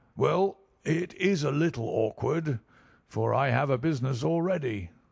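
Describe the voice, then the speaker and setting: A man does a put-on character voice that is raspy and fairly high in pitch. His intonation is lively and his loudness very even. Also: moderate pace. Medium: read story.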